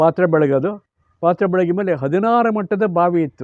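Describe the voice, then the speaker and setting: This man's voice is high in pitch, with fairly even intonation. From India, Karnataka, Chitradurga district (Hiriyur taluk village). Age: 80s+. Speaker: veteran journalist and writer. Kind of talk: life-story interview.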